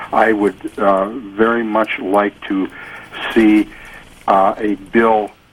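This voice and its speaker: Over noticeable background noise, a man with a fairly low pitch speaks at a very slow pace in a flat monotone. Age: 70s. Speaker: caller. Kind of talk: call-in question. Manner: halting.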